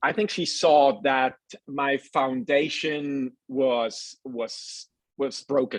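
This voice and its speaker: A man speaks with a Swiss accent. His pitch is fairly high. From Switzerland. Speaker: nutritionist. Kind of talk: casual chat. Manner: halting.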